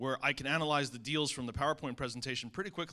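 With an American accent, a man speaks at a very fast pace in a fairly high pitch. His tone is bright and sharp, and his intonation stays fairly even. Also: very clean recording, silent background. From New Jersey. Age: 50s. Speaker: real estate investor. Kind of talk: panel testimony.

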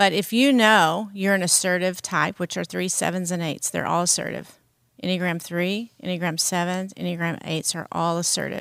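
A woman with an American accent has a normal speaking voice and a fairly low pitch. She keeps a moderate pace with fairly even intonation. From US South. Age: 50s. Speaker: pastor. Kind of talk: casual chat.

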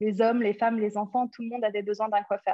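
In a plain, everyday voice, a woman talks at a fairly high pitch, her intonation fairly even. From London, England. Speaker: entrepreneur. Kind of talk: interview.

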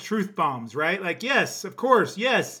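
On a very clean recording with a silent background, a man uses a raised, projected voice at a high pitch. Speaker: podcast host. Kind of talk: casual podcast interview.

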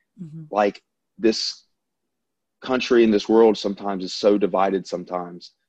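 A man with a Southern US accent speaks at a moderate pace, with fairly low pitch, a dark, mellow tone and fairly even intonation. The sound is dry and close with no echo, over a quiet background. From US South, Louisiana. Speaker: airline pilot.

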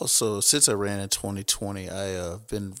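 Fairly quick and fairly low-pitched, a man talks in an ordinary speaking voice. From Texas, Houston area. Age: 30s. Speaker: city council candidate and gym owner. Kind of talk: interview.

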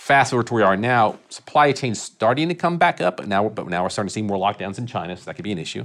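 A man talks in a fairly low pitch. It is an ordinary speaking voice. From Texas (Irving, Dallas area). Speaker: construction insurance risk executive. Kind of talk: interview.

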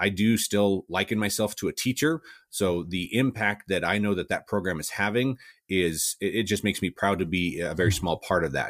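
In a plain, everyday voice with an American accent, a man talks at a fairly quick pace with fairly low pitch and ordinary pitch variation, the very clean recording dry and close with no echo and a silent background. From Southwest Colorado, US. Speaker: education company president, former teacher. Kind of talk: interview.

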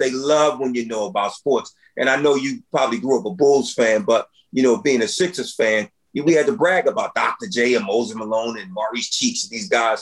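Speaking at a moderate pace, a man's voice makes very wide pitch swings. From US, Philadelphia inner city. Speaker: school principal. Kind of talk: interview. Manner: passionate.

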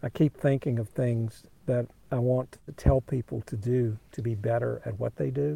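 Dark, mellow tone, somewhat breathy, in a dry, close sound with no echo. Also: man. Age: 50s. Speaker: former tech company CEO. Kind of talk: casual interview.

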